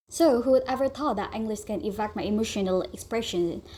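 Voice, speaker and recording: This voice is somewhat breathy, with an Indonesian accent. Its pitch varies in an ordinary way. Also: woman. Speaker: university student. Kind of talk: class presentation narration.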